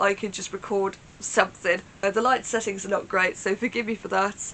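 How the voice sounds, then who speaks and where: A woman with a British accent talks at a fairly quick pace. Her medium-pitched voice stays monotone and flat. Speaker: Eurovision reaction YouTuber. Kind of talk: casual reaction talk to camera.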